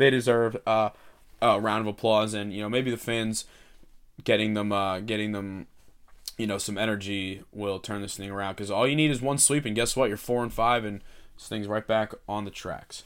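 A man with an American accent has an ordinary speaking voice, a fairly low pitch and fairly even intonation at a moderate pace. His loudness swings widely in a very clean recording with a silent background. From Delaware County, Pennsylvania. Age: 20s. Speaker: podcast host and college student. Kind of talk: solo podcast commentary. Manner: casual, conversational.

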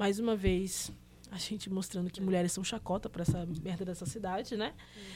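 In a very clean recording with a silent background, a woman uses a normal speaking voice at a medium pitch, with fairly even intonation and a moderate pace. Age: 20s. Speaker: podcast co-host. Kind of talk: casual chat.

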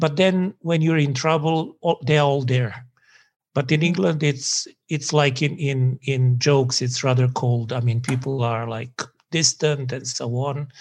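A man speaks with a Serbian accent at a fairly high pitch. His voice is somewhat breathy, with ordinary pitch variation. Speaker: sociology professor. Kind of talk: academic interview.

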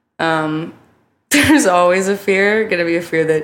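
Recorded with audible room echo, a woman with an American accent speaks fairly slowly with fairly even intonation. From California (Oakland). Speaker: musician. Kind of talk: interview.

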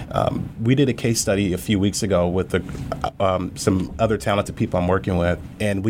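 A man with a somewhat deep voice speaks rather fast, his pitch rising and falling in a normal way amid clearly audible background noise. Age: 30s. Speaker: business owner. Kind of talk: interview podcast.

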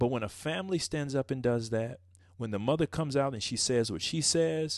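The background is quiet. A man speaks in an ordinary speaking voice at medium pitch with ordinary pitch variation. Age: 40s. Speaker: pastor and podcast co-host. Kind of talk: casual chat.

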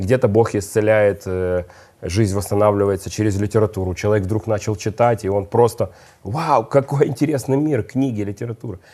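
A man speaks at a fairly low pitch with a dark, mellow tone. His pitch varies in an ordinary way. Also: moderate pace. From Odesa, Ukraine. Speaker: chaplain and minister. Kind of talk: religious talk show conversation.

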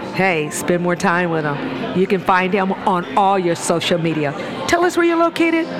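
A woman with an American accent speaks in an animated tone at a moderate pace and very even loudness, with crowd noise in the background and audible room echo. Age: 60s. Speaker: motivational speaker and teacher. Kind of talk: casual interview. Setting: coffee shop.

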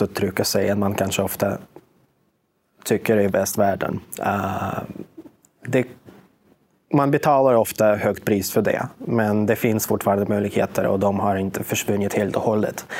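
A man with a fairly low pitch talks at a moderate pace, with long, frequent pauses. His loudness is very even and his pitch variation ordinary. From Russia. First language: Russian (speaking Swedish). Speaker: media researcher. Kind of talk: interview. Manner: halting, many fillers.

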